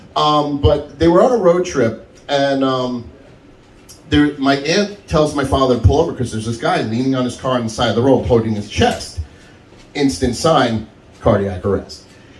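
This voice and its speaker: With audible room echo, a man speaks at a moderate pace and medium pitch, his intonation lively. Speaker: stand-up comedian. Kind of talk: stand-up. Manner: loud.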